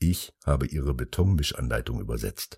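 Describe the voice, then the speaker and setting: On a very clean recording with a silent background, a man speaks with lively intonation at a moderate pace, the sound dry and close with no echo. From Germany, Taunus near Frankfurt. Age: 50s. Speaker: artist. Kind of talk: monologue. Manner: loud.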